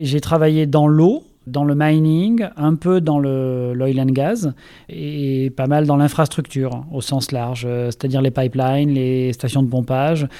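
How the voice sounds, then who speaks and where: Dark and mellow in tone, a man speaks at a very slow pace. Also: fairly high pitch for a man, ordinary pitch variation. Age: 40s. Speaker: engineer. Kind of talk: interview. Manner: hesitant with filler sounds.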